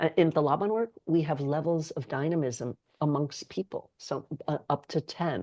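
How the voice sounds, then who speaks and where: Against a quiet background, a woman with an American accent talks at a moderate pace in a very deep, low pitch with a dark, mellow tone. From New York City. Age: 60s. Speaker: somatic movement educator. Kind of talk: podcast interview.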